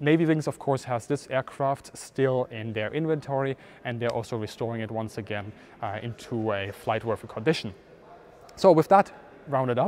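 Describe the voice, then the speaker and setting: A man talks with ordinary pitch variation and a moderate pace, with light background noise behind him. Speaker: presenter. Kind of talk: educational walkaround commentary. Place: hall. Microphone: lapel.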